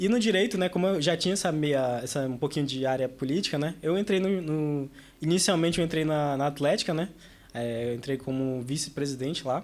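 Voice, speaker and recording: A man with an ordinary speaking voice, fairly high pitch, ordinary pitch variation and a fairly quick pace. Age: 20s. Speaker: university student and student leader. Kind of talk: casual podcast interview. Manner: casual, filler-heavy.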